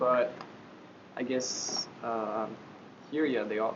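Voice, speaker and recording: Noticeable noise sits behind a male voice that carries audible echo from the room. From France. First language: French. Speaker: interviewee, foreign student in Japan. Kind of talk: interview answer. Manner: hesitant, many fillers.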